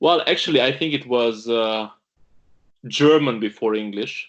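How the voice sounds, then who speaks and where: With a Romanian accent, a man speaks at a medium pitch and a fairly slow pace, using ordinary pitch variation over a quiet background. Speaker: pastor. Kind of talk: video interview.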